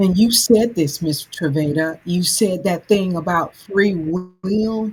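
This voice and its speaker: A woman's medium-pitched voice with ordinary pitch variation at a very slow pace. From US South, Alabama. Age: 60s. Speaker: anthology author. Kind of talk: casual podcast chat. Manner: halting repetitions.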